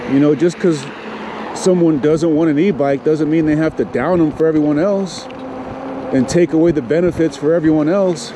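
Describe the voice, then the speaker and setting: Against noticeable background noise, a man with a fairly high pitch talks at a moderate pace in a relaxed tone, with very even loudness and ordinary pitch variation. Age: 50s. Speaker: e-bike reviewer. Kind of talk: casual ride-along commentary. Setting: outdoors on a bike trail. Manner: relaxed, conversational.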